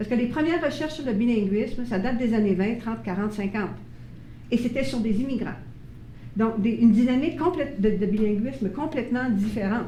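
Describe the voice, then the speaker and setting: An animated tone with lively intonation at a fairly quick pace, plus audible room echo. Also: woman, fairly high pitch for a woman. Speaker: bilingualism expert speaker. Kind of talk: presentation to parents.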